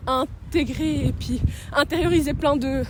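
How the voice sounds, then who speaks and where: The woman speaks at a high pitch against noticeable background noise. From Switzerland, Sion (Valais). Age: 20s. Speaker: documentary interviewee. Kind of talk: interview. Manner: casual, hesitant.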